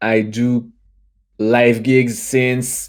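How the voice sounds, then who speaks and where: With a French accent, a man speaks at a medium pitch in a monotone, flat intonation. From France. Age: 20s. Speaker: youtuber and musician. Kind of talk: casual chat. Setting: livestream. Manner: halting.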